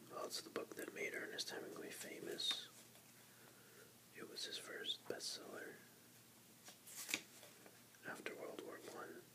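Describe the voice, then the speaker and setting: Whispering and soft-spoken at a fairly slow pace, the voice sits under loud background noise. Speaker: book reader. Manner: soft ASMR whisper, close to mic. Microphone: phone near.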